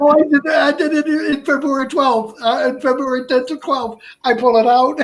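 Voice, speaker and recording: A man's extremely high-pitched voice at a moderate pace, with noticeable background noise. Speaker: stroke survivor and heart transplant recipient. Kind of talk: interview answer. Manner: halting speech, short utterances, word-finding difficulty.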